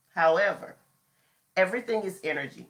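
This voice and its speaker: Lively intonation marks a woman talking at a moderate pace. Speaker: astrology and manifestation teacher. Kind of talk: live stream talk. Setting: facebook and instagram live. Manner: casual, chatty.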